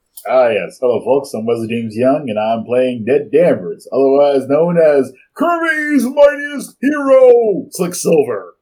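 A man performs a put-on character voice at a fairly high pitch. He keeps a moderate pace with hardly any pauses. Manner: smooth, theatrical.

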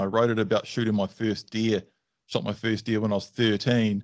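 This man has a New Zealand accent and a medium-pitched voice. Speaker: dog trainer. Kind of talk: casual chat. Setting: video call.

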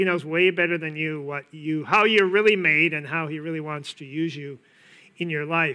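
With an American accent and a normal speaking voice, a man talks at a fairly high pitch with fairly even intonation. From US Upper Midwest, east-central Minnesota. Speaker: pastor. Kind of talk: sermon.

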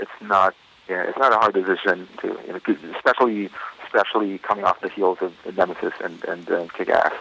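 Noticeable background noise sits under a man speaking at moderate speed. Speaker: comic book artist. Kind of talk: interview answers. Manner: halting, hesitant with filler words.

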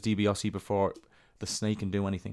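On a very clean recording with a silent background, a man with an Irish accent speaks at a very fast pace. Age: 30s. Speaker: wrestling podcast host. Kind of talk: recap narration; casual chat.

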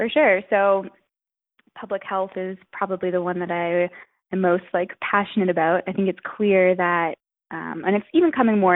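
In a Canadian accent, a woman with a medium pitch and an unremarkable speaking voice talks at a moderate pace. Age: 20s. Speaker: author and researcher. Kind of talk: casual interview.

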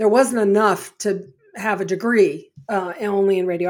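With an American accent and an ordinary speaking voice, a woman talks at a moderate pace in a medium pitch with ordinary pitch variation. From Connecticut, US. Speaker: former college radio announcer. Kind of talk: interview.

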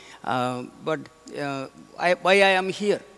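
A man talks while noticeable noise sounds in the background. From India, Kerala. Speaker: visiting missionary priest. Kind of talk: homily. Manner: halting, many fillers.

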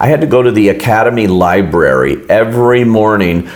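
A man with an American accent at a fairly low pitch, ordinary pitch variation, audible room echo and noticeable background noise. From Los Angeles, US. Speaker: film critic. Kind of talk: casual interview.

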